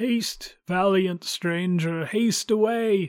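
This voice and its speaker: A put-on character voice at middle pitch and a fairly slow pace, in a very clean recording with a silent background. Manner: mournful warning.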